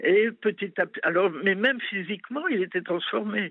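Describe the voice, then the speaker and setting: Here is a woman's voice. Her pitch swings very widely. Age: 70s. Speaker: mother of a sect member. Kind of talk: testimony.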